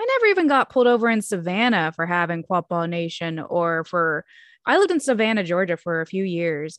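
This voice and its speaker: Over a quiet background, with a dry, close sound and no echo, a woman with an American accent talks in an unremarkable speaking voice at a medium pitch, fairly quick in pace and lively in intonation. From Oklahoma. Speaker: podcast co-host. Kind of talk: casual chat.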